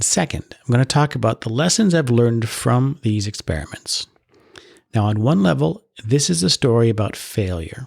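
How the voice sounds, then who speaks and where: With a Canadian accent, a somewhat breathy man speaks at a medium pitch and moderate pace, the sound dry and close with no echo. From Canada, Ottawa. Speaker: podcast host. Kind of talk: solo podcast monologue. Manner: mild disfluency, not severe.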